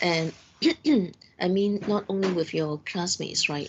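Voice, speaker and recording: A woman speaks with a Cantonese accent and fairly even intonation. There is noticeable background noise. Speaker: university lecturer. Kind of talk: lecture. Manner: halting.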